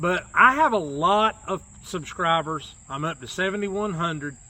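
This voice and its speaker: This man has a high pitch, a bright, sharp tone and lively intonation, with a North Carolina accent. The recording is very clean, with a silent background. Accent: Southern US (North Carolina). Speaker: YouTuber. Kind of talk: casual chat.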